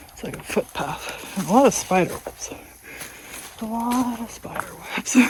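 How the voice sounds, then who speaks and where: Noticeable background noise runs under speech delivered fairly slowly. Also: woman. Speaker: hiking vlogger. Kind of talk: casual vlog narration while walking. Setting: outdoors on a trail. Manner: hesitant, many fillers.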